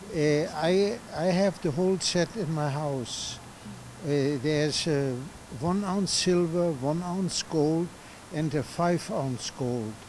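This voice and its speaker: Noticeable background noise fills the recording. A man speaks at a very slow pace. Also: ordinary pitch variation. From Germany. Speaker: refugee survivor interviewee. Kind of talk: interview testimony. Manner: halting.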